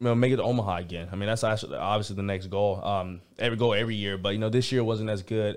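A man with an American accent speaks at a medium pitch and ordinary pitch variation, on a very clean recording with a silent background. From Georgia, US South. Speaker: college baseball player. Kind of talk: interview. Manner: halting, many fillers.

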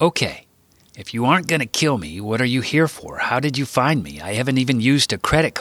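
The reading voice sounds unforced, with ordinary variation in pitch.

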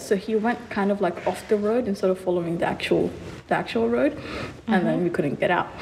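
Very fast speech with ordinary pitch variation and noticeable background noise. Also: woman. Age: 20s. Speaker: recent nursing graduate. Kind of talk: casual chat.

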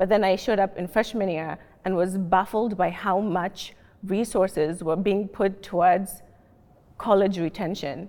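The voice has a dark, mellow tone. It comes with a Kenyan accent. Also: woman, medium pitch for a woman, fairly even intonation, moderate pace. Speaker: healthcare analyst, panelist. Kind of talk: panel discussion. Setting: library reading room, filmed.

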